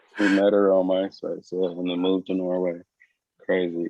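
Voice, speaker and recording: This is a plain, everyday voice from a man with an American accent and a fairly low pitch. He talks at a moderate pace. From United States. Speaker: podcast co-host. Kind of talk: casual chat.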